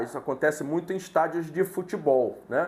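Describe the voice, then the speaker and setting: A man with a high-pitched voice at a moderate pace. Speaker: sales course instructor. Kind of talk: online lecture.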